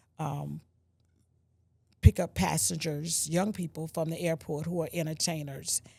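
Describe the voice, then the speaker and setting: Speaking at a fairly slow pace with long, frequent pauses, a woman uses a very deep, low pitch, vocal fry and a dark, mellow tone, her intonation fairly even but her loudness swinging widely, on a very clean recording with a silent background. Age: 60s. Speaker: senior food bank client. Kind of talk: interview.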